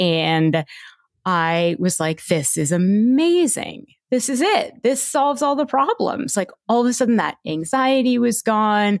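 A woman's fairly high voice with very wide pitch swings and very even loudness at a fairly slow pace, on a very clean recording with a silent background. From Toronto, Canada. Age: 40s. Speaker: orthodontist in recovery. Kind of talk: interview, personal testimony.

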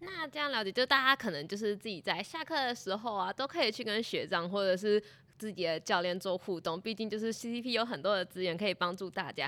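With hardly any pauses, a woman speaks at a fairly quick pace and medium pitch, her lively intonation carrying a bright, sharp tone. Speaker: student podcast host. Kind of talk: interview.

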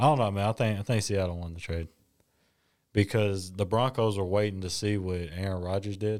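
A man talks in a normal speaking voice, fairly low in pitch. His pace is moderate and his intonation fairly even. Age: 20s. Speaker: sports podcast co-host. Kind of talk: casual chat.

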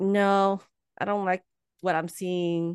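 Recorded dry and close with no echo, the speech unfolds at a fairly slow pace. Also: woman. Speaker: podcast host. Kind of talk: interview. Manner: halting, stumbles over words.

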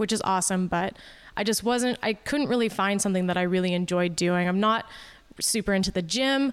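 On a very clean recording with a silent background, a woman with an unremarkable speaking voice talks at a medium pitch with ordinary pitch variation. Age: 30s. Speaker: hobbyist skater and improv comedian. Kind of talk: casual chat.

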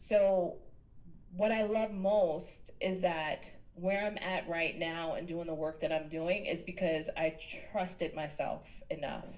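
Very slow delivery with an American accent, fairly even intonation and audible room echo. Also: woman, fairly low pitch for a woman. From New York City (Queens). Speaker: business coach. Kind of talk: interview conversation.

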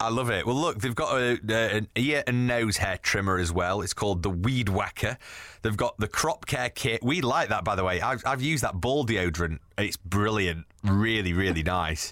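A man with a normal speaking voice talks at a moderate pace and a fairly low pitch, with lively intonation, very even loudness and hardly any pauses, on a very clean recording with a silent background. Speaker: podcast host. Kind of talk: casual chat.

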